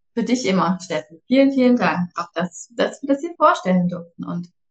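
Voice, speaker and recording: A woman speaks with lively intonation and a somewhat breathy voice. Her pace is moderate. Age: 40s. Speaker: startup co-founder. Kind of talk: casual interview.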